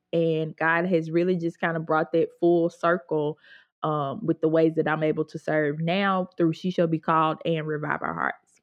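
A woman's fairly low, monotone, flat voice at a moderate pace, with a Mississippi accent. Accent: Southern US (Mississippi). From US South, Mississippi (Grenada). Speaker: Bible teacher and writer. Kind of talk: casual interview.

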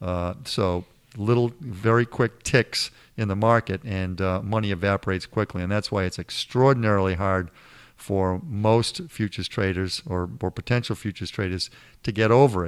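In a Boston accent, a man speaks at a moderate pace and fairly low pitch with ordinary pitch variation, the sound dry and close with no echo. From Boston area. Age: 60s. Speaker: financial advisor, former futures trader. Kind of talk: interview. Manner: halting, frequent repetitions.

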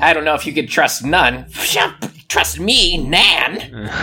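A put-on character voice at a middle pitch moves at a fairly slow pace. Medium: actual play. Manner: quarrelsome.

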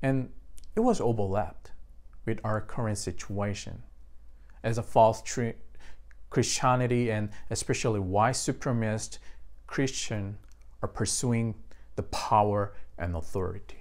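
A man with a Korean accent talks in a fairly low pitch at a fairly slow pace, with fairly even intonation. His speech has long, frequent pauses. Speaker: pastor. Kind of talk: sermon. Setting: online church service.

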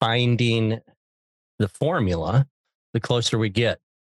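A man with an ordinary speaking voice talks at a moderate pace and medium pitch with ordinary pitch variation, in a dry, close sound with no echo. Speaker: podcast host, pizza consultant. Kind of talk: casual interview.

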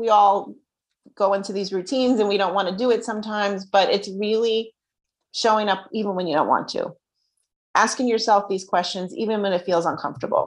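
In a quiet background, a woman with a New Jersey accent speaks at a moderate pace and medium pitch, with fairly even intonation and long, frequent pauses. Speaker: self-worth coach. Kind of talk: casual interview chat.

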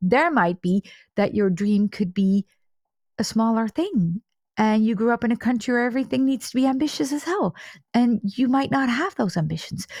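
Her fairly high, somewhat breathy voice has lively intonation and very even loudness as this woman speaks at a moderate pace, in a dry, close sound with no echo and a very clean recording with a silent background. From Netherlands. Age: 40s. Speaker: money coach and trauma therapist. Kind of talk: interview.

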